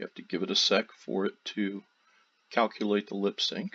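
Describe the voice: A man speaks at a moderate pace with a fairly low pitch and a slightly husky edge. His pitch moves very little.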